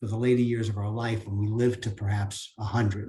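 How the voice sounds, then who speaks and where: Somewhat breathy, a man talks in a dark, mellow tone. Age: 70s. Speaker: business speaker, franchise owner. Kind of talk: seminar talk. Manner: halting, with repetitions and fillers.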